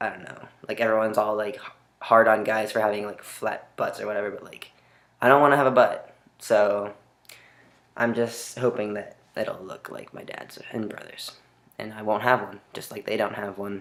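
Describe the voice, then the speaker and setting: A man speaks at a moderate pace and a fairly low pitch, with monotone, flat intonation and big swings in loudness. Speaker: vlogger. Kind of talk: video diary. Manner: hesitant, many fillers.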